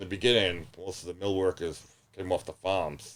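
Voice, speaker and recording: Monotone, flat intonation marks a man's very deep, low voice. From Rhode Island. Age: 60s. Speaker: local historian. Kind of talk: podcast interview.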